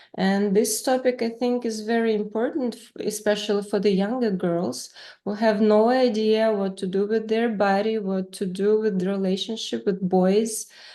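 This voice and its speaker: A woman's medium-pitched voice with a non-native accent, a dark, mellow tone and fairly even intonation. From Ukraine. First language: Russian. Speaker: author and interviewer. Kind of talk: casual interview. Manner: halting, many fillers.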